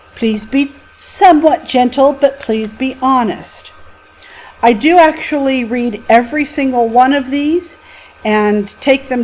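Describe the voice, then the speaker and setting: High-pitched and with ordinary pitch variation, a woman speaks at a very slow pace against noticeable background noise. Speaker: college instructor. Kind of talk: lecture. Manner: expressive, with highs and lows.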